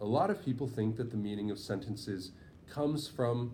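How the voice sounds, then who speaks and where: There is audible room echo as a man with a medium pitch, dark, mellow tone, and somewhat breathy sound speaks with ordinary pitch variation. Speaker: writing tutor. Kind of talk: lesson. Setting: in person with two students.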